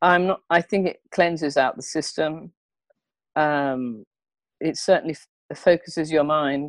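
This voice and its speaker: A woman with an English accent, very deep and low-pitched, at a fairly slow pace with long, frequent pauses, fairly even intonation and big swings in loudness, in a dry, close sound with no echo. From England. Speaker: comedian and therapist. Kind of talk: interview answer.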